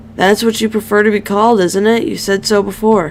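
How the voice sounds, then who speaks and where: A raspy, put-on character voice that sounds female, at a medium pitch for a woman. She speaks at a fairly quick pace over clear background noise. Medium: read story. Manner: apologetic, hesitant.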